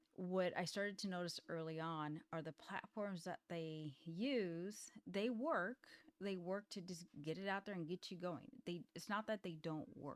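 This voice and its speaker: A woman speaks in a normal speaking voice, fairly low in pitch, at a fairly slow pace. Her pitch variation is ordinary, and the sound is dry and close with no echo. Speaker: indie author and software founder. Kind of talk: casual vlog talk. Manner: casual, with fillers.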